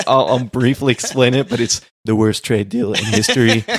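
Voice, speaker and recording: At a moderate pace and medium pitch, a man with a plain, everyday voice speaks with fairly even intonation. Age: young. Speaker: podcast co-host. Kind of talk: casual chat.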